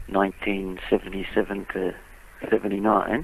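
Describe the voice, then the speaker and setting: In an Australian accent, a man talks at a moderate pace. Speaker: blues musician. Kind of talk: interview.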